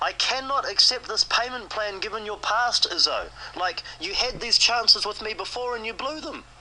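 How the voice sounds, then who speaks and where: A man's extremely high voice at a moderate pace, with ordinary pitch variation and noticeable background noise. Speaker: creditor confronting a debtor. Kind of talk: heated phone argument.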